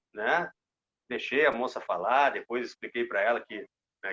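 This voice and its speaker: A man speaks with a southern Brazilian accent at a fairly quick pace. The sound is dry and close, with no echo. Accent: southern Brazilian (gaúcho). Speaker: sports reporter. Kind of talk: casual interview.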